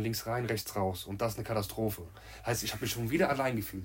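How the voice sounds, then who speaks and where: Very fast and somewhat breathy, a man speaks at a medium pitch with ordinary pitch variation, and audible room echo around him. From Germany, Marburg (Hesse). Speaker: amateur footballer. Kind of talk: casual chat.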